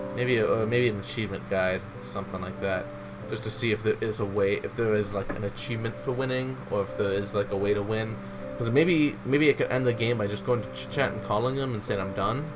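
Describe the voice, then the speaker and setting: Delivered at a very fast pace with lively intonation, the speech carries audible room echo and noticeable background noise. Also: man, fairly low pitch for a man. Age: 20s. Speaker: gaming youtuber. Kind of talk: let's play commentary. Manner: casual, hesitant.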